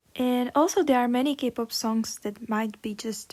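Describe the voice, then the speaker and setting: A woman speaks with a non-native accent. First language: not English. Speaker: YouTuber, K-pop fan. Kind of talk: casual opinion vlog.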